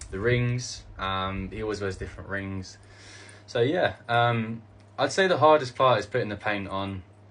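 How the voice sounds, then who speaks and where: With a British accent, the speaker goes at a moderate pace with ordinary pitch variation. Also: man, fairly low pitch for a man. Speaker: cosplayer content creator. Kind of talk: casual Q&A video. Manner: halting, many fillers.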